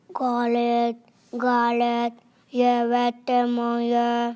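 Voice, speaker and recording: Doing a put-on character voice, a woman speaks at a high pitch and very slow pace with monotone, flat intonation. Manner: threatening.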